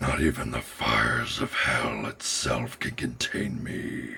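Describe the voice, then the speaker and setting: A man puts on a raspy character voice with a very deep, low pitch. He delivers it at a fairly slow pace. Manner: menacing, ominous.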